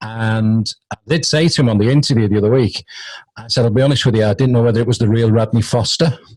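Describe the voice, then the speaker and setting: A man with a British accent talks at a very fast pace. His medium-pitched voice is somewhat breathy, with ordinary pitch variation. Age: 50s. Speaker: radio host. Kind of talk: casual interview chat.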